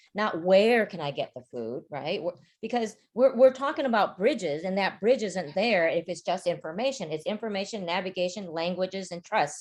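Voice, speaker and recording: A woman with an unremarkable speaking voice talks at a moderate pace. Her intonation is lively, and the background is quiet. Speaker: community organization leader. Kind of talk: virtual panel talk.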